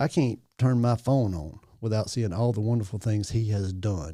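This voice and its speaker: A man with a Louisiana accent, a fairly low pitch and a dark, mellow tone, at a moderate pace with ordinary pitch variation, on a very clean recording with a silent background. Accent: Southern US (Louisiana). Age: 60s. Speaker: parish assessor. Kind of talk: casual chat. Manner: animated.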